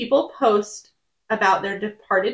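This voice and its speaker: Here is a woman with an ordinary speaking voice. Her intonation is lively. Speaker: podcast co-host. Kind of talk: casual chat with storytelling and reading letters.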